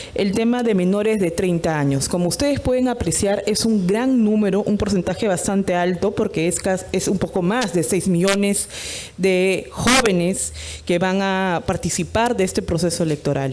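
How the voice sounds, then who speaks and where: Amid noticeable background noise and audible room echo, a woman speaks at a moderate pace and very even loudness, with a medium pitch and ordinary pitch variation. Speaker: electoral official presenter. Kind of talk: conference presentation.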